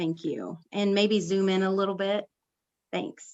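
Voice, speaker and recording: A woman's plain, everyday voice at medium pitch and moderate pace, against a quiet background. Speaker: city finance official. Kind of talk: council committee report.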